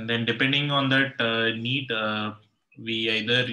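A man talks at a fairly slow pace. His intonation stays monotone and flat. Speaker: student. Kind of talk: classroom discussion. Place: home room. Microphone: video call.

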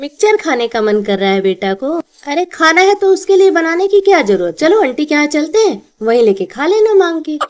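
With very wide pitch swings, a woman speaks in a high voice against a quiet background. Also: moderate pace. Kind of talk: acted family skit dialogue. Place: home room.

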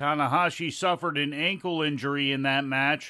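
A man speaks at a moderate pace with fairly even intonation in a normal speaking voice. The recording is very clean, with a silent background. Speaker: wrestling news anchor. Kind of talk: news reading. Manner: steady, brisk, formal newsreader delivery.

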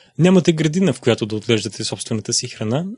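A man speaks with lively intonation in a somewhat breathy voice. The sound is dry and close with no echo, over a quiet background. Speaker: narrator reading a translated sermon. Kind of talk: reading aloud.

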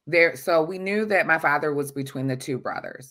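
Against a quiet background, a woman with an American accent speaks in a very deep, low pitch with a bright, sharp tone and ordinary pitch variation. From US Midwest, suburban Detroit, Michigan. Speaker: adoptee-type DNA client telling her story. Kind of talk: interview testimony. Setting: video call. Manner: halting, many fillers. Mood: earnest personal storytelling. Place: home room. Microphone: webcam.

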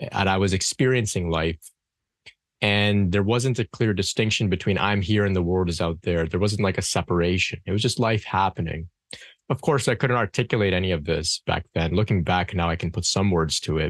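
A man talks at a fairly quick pace in a very deep, low pitch with ordinary pitch variation. His loudness stays very even against a quiet background. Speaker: podcast guest. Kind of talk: interview answer. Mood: calm, reflective. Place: home room. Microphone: studio mic.

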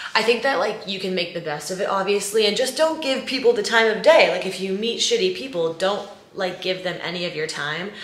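A woman speaks at a fairly quick pace with hardly any pauses. Audible room echo surrounds her voice. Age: 20s. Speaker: lifestyle YouTuber. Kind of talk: casual vlog talk to camera. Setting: bedroom at home. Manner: animated.

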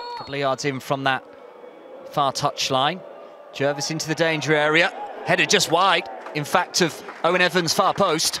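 A fairly high-pitched man speaks at a moderate pace with fairly even intonation and long, frequent pauses, the sound dry with no echo but with noticeable background noise. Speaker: match commentator. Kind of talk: live football commentary. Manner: brisk, fluent play-by-play delivery, clipped with rising energy at chances. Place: stadium.

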